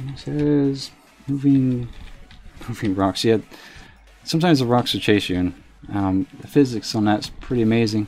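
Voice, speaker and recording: Music plays in the background as a man talks. His tone is relaxed, with a slight Southern accent. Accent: slight southern drawl. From US South. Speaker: game streamer. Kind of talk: casual live stream commentary. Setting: live stream. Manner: relaxed, frequent fillers.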